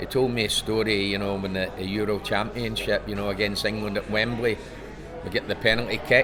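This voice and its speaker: Over music in the background, a man with a fairly low pitch talks at a fairly quick pace in a flat, monotone way. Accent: Scottish. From Scotland. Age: 70s. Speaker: former footballer. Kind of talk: interview. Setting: author convention.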